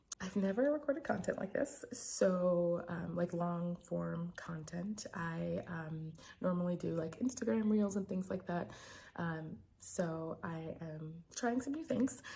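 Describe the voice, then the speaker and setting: A soft-spoken, somewhat breathy voice with a dark, mellow tone. It moves at a fairly slow pace with lively intonation. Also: woman, fairly low pitch for a woman. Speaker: physician and sex educator. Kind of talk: personal vlog. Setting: home recording. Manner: hesitant, many fillers.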